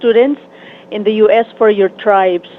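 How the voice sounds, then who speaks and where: The speaker goes at a moderate pace with fairly even intonation, and there is noticeable background noise. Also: woman. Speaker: radio host. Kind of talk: interview.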